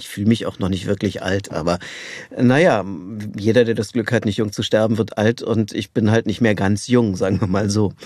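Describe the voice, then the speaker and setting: This is a man with a normal speaking voice, pitched fairly low. He talks at a moderate pace with fairly even intonation. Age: 60s. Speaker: voice actor. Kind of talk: interview. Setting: studio.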